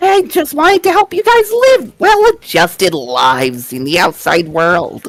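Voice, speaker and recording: A put-on character voice at a moderate pace with hardly any pauses. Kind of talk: video game character voice. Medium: video game. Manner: mocking, faux-caring.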